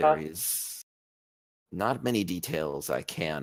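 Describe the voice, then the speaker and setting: A man performs a put-on character voice. It is raspy and very deep, low in pitch. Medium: actual play. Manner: formal, measured.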